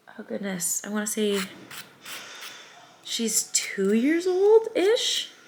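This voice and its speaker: With long, frequent pauses, a woman speaks at a very slow pace amid noticeable background noise. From US Midwest, Springfield, Missouri. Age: 20s. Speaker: small business owner and vlogger. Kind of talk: casual vlog chat. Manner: casual, many filler ums.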